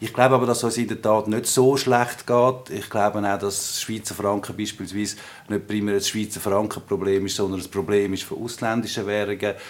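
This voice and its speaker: Against noticeable background noise, a man's fairly low voice stays in a monotone, flat intonation. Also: moderate pace. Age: 40s. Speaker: politician. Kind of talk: interview.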